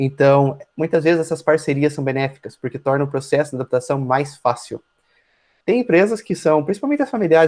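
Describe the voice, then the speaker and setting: A man's fairly high voice races along at a very fast pace. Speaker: university lecturer. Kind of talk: online lecture.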